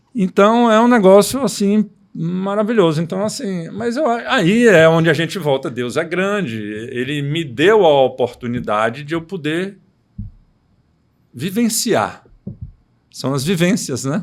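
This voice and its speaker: Swinging his high pitch very widely, a man speaks at a fairly slow pace with long, frequent pauses. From Bahia, Brazil (Itabuna). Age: 60s. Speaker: orthopedic surgeon. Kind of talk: casual chat.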